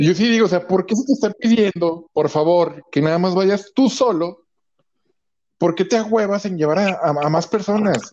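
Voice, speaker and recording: Ordinary pitch variation marks a man with a Mexican accent who speaks at a high pitch and a moderate pace. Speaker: podcast co-host. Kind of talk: casual chat.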